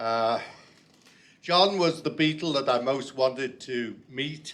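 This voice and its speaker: A man speaks at a very slow pace with a fairly high pitch and lively intonation. Room echo is audible. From Liverpool, England. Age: old. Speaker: poet. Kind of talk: poetry reading. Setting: stage with audience. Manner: halting.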